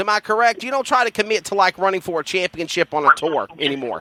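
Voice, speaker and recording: A man's raised, projected voice with a Southern US accent and lively intonation, dry and close with no echo, over noticeable background noise. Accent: Southern twang. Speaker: motorsports announcer. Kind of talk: interview.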